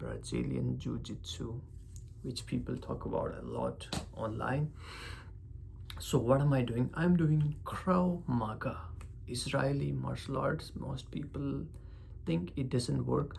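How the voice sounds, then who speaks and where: A man with a non-native accent at a very slow pace, with long, frequent pauses and audible room echo. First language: not English. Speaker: vlogger. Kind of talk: casual vlog monologue. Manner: emphasis on certain syllables; halting, searching for words.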